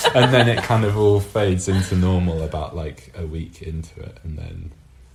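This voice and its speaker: A man with a very deep, low pitch and ordinary pitch variation speaks at a moderate pace, his loudness swinging widely over noticeable background noise. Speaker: artist, intersex guest. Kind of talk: casual chat. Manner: halting, many fillers.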